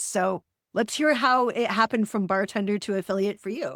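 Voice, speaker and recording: A woman with an American accent and a normal speaking voice, at a moderate pace with ordinary pitch variation, in a very clean, dry, close recording with no echo and a silent background. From Wyoming, US. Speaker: podcast host. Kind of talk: podcast interview.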